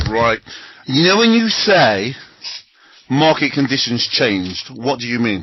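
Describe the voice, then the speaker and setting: Long, frequent pauses break up a man's speech. His medium-pitched voice has lively intonation. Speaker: trading coach. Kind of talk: interview. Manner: fast.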